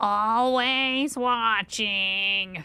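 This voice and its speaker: Pitched fairly high, this female-sounding voice performs a put-on character voice. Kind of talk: bad impression.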